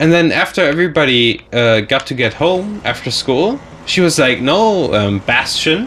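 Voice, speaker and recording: A man with a German accent and a fairly high pitch speaks at a moderate pace with very wide pitch swings. There is noticeable background noise. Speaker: gaming commentator. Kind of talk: casual chat. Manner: halting.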